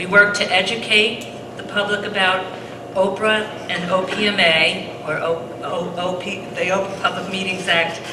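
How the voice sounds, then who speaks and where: Amid audible room echo and noticeable background noise, a woman talks at a moderate pace in a flat monotone. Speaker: seminar moderator, board member of advocacy group. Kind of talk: public seminar introduction. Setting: high school auditorium, live audience. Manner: halting, many fillers. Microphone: too quiet, handheld mic not close enough.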